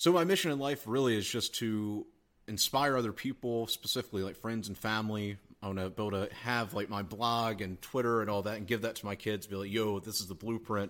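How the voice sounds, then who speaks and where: Speaking fairly quickly in an American accent, a man has an unremarkable speaking voice with fairly low pitch and ordinary pitch variation. The recording is very clean, with a silent background. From US South, South Carolina. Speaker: online entrepreneur, email marketer. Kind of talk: casual interview chat. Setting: in person, Austin.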